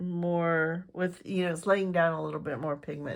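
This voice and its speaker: This woman's voice sits at a medium pitch. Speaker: fountain pen reviewer. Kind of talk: product review. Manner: casual, hesitant with fillers.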